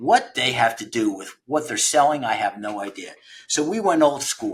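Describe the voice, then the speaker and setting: A normal speaking voice at a moderate pace. The intonation is lively. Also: man. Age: 60s. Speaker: founder of a trades recruiting platform. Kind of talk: podcast interview. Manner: conversational, with frequent repetitions and fillers.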